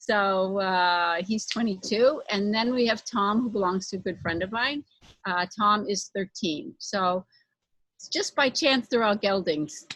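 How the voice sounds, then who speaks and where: At a fairly slow pace, a woman speaks in an ordinary speaking voice of medium pitch with ordinary pitch variation. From United States. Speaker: corporate consultant and equine body worker. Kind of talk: interview.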